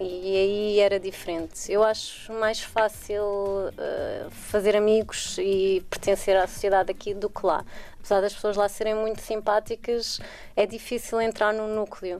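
A woman's medium-pitched voice in a Lisbon accent, monotone and flat, at a fairly slow pace. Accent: European Portuguese, Lisbon. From Portugal, Lisbon. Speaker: interviewee, former scientist. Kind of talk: radio interview.

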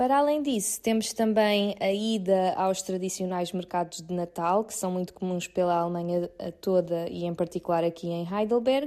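A woman's medium-pitched voice, dark and mellow, with ordinary pitch variation, moderate pace and hardly any pauses, over a quiet background. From Portugal, Seixal (Setúbal district). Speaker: Portuguese emigrant. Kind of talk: recorded testimony. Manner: hesitant, with filler words.

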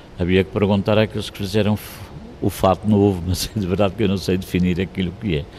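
A man speaks at a very fast pace in a very deep, low voice with monotone, flat intonation. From Madeira, Portugal. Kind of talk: interview.

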